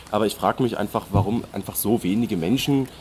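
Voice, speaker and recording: The pace is very fast for this male speaker. Pitch moves up and down in an ordinary way. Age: 20s. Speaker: student and podcast co-host. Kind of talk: casual chat. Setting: outdoors on a hike.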